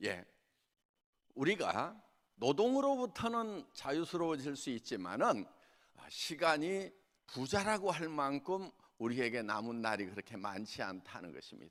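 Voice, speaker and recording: On a very clean recording with a silent background, a man with a fairly high pitch speaks at a fairly slow pace, his voice swinging very widely in pitch between long, frequent pauses. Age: 60s. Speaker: company founder and lay preacher. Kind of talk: sermon. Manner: halting.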